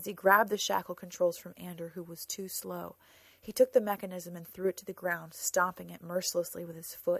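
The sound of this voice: Intonation is fairly even throughout. The delivery is an unforced reading voice.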